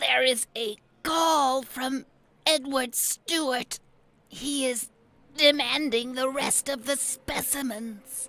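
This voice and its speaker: A put-on character voice, female-sounding and high-pitched, timid in tone and very slow. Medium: audio drama. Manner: timid, deferential.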